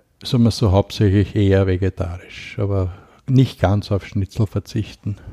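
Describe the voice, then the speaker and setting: A man speaks with a dark, mellow, somewhat breathy tone at a fairly low pitch and with fairly even intonation, the sound dry and close with no echo on a very clean recording with a silent background. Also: moderate pace. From Lower Austria. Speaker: activist on poverty and mental health. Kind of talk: interview, personal life story.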